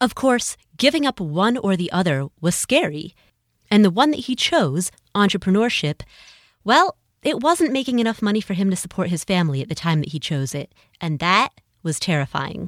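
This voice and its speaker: On a very clean recording with a silent background, a woman at medium pitch shows very wide pitch swings. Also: moderate pace, dry, close sound with no echo. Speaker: podcast host. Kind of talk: scripted narration. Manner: animated.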